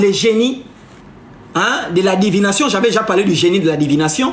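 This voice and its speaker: A man speaks at a fairly slow pace in a high voice with very wide pitch swings. Noticeable background noise and audible room echo surround him. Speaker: live streamer, spiritual commentator. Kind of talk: live stream monologue. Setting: live stream. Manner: animated.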